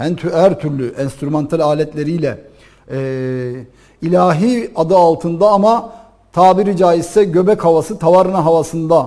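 A man with a high pitch and a dark, mellow tone speaks at a moderate pace with ordinary pitch variation. The background is quiet. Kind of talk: religious talk-show answer. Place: studio. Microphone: lapel.

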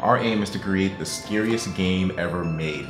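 Clear music plays in the background beneath a voice with ordinary pitch variation. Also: man. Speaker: gaming commentator. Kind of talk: commentary. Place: home room.

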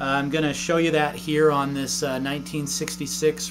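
The speech moves at a moderate pace. Noticeable background noise runs underneath. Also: man. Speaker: guitar teacher. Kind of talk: tutorial. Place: home room.

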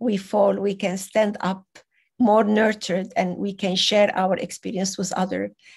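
A woman with a non-native accent speaks somewhat breathily at a moderate pace in a monotone, flat intonation over a quiet background. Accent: foreign. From Venezuela. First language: not English. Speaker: conference speaker. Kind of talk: conference talk. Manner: halting.

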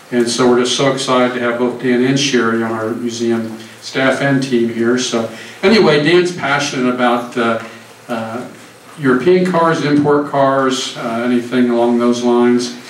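A man talks at a moderate pace with fairly even intonation. The room echo is audible, with light background noise. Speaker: museum host introducing speaker. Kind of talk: speaker introduction. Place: hall.

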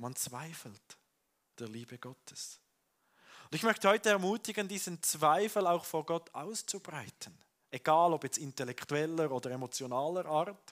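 Against a quiet background, a man speaks at a moderate pace with lively intonation and big swings in loudness. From Switzerland. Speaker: pastor. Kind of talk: sermon. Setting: church with congregation. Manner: conversational, warm, earnest. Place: church. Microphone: headset.

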